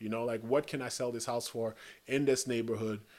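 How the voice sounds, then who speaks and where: A man's medium-pitched voice with fairly even intonation, recorded very cleanly against a silent background. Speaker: podcast host. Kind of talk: solo podcast monologue. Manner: hesitant, many fillers and restarts.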